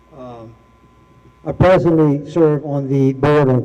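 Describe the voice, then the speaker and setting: A man against noticeable background noise. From Louisiana, New Iberia area. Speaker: political candidate. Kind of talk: candidate forum speech. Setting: public forum with microphone and audience. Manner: halting.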